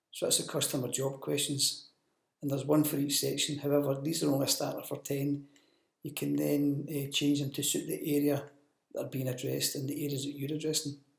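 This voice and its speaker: The man's voice is somewhat breathy. His intonation stays monotone and flat. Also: fairly high pitch for a man, fairly quick pace. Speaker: business development manager presenting training. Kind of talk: recorded training presentation.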